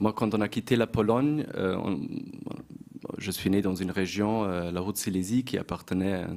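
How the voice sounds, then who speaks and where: At a moderate pace, a man with a fairly low pitch and ordinary pitch variation speaks with long, frequent pauses. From Germany, Bavaria (born in Poland). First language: German (speaking French). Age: young. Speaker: journalist and lecturer. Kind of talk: panel discussion. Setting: stage with audience. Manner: hesitant.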